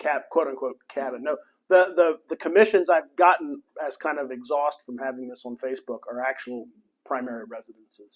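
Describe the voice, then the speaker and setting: A man talks at a moderate pace in a fairly high pitch. His pitch varies in an ordinary way. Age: 60s. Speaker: township manager and architect. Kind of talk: club talk with Q&A. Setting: club meeting with audience. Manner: halting, frequent repetitions.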